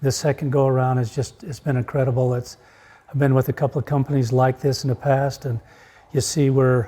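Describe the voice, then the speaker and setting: A man's dark, mellow, somewhat breathy voice stays monotone and flat. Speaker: real estate company founding partner. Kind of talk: casual group conversation.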